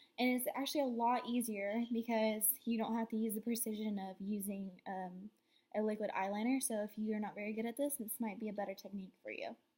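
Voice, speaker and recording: The tone is dark, mellow and somewhat breathy. The pace is fairly quick, and the intonation stays fairly even. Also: woman, fairly high pitch for a woman. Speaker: beauty vlogger. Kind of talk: makeup tutorial. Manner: casual, filler words.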